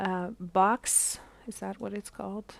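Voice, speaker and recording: This woman speaks at a medium pitch with a non-native accent, on a very clean recording with a silent background. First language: not English. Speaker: gaming streamer. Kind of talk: live gameplay stream tutorial. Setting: live stream. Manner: halting, many fillers.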